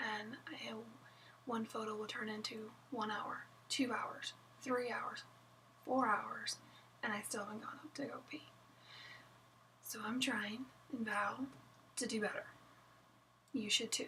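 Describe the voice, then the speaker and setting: With an American accent, the speaker talks in fairly even intonation, broken by long, frequent pauses. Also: woman, fairly high pitch for a woman. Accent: southern, slight unless drinking. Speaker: wedding photographer. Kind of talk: casual vlog chat. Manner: casual, chatty with fillers.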